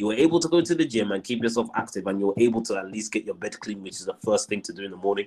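Very fast and energetic, a man talks at a medium pitch. His pitch swings very widely. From Zimbabwe. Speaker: personal trainer and professional wrestler. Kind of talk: casual interview.

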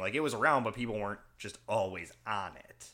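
Lively intonation marks this man's speech. He has an unremarkable speaking voice and a moderate pace. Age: early 30s. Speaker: podcast host.

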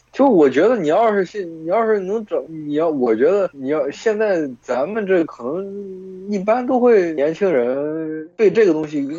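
A high-pitched man speaks with hardly any pauses. His intonation is lively. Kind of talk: casual chat among friends. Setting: voice call with bluetooth earphones. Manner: casual, profane.

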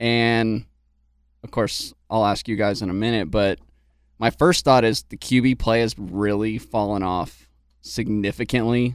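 A man's medium-pitched voice at a fairly slow pace, fairly even in intonation, on a very clean recording with a silent background. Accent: Texan. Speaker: podcast co-host. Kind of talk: casual chat.

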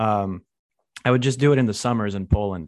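Against a quiet background, a man speaks in a plain, everyday voice at a fairly low pitch and a moderate pace. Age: 20s. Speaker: podcast host. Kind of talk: casual chat.

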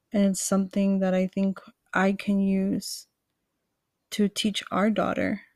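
A woman with an American accent speaks fairly slowly at a medium pitch, somewhat breathy and monotone, with long, frequent pauses and very even loudness. The recording is very clean, with a silent background. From Queens, New York. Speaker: podcast co-host. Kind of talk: casual chat.

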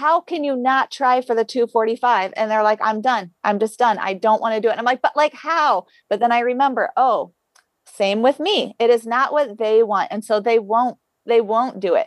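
A woman speaks with an American accent in a fairly high voice, using ordinary pitch variation at a moderate pace. It's an unremarkable speaking voice, with a dry, close sound with no echo. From rural Ohio, US Midwest. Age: 40s. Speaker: elite marathon runner. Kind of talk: interview, casual chat.

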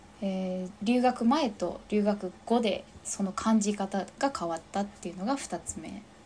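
A somewhat breathy woman's voice at medium pitch, dark and mellow in tone, with ordinary pitch variation. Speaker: fitness instructor. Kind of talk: casual interview chat.

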